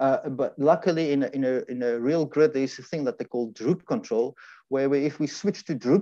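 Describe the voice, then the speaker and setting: A man speaks at a moderate pace with a dark, mellow tone and fairly high pitch. The background is quiet and the sound is dry with no echo. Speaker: engineering lecturer. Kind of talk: conference presentation with live demo. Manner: halting, many repetitions. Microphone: video call.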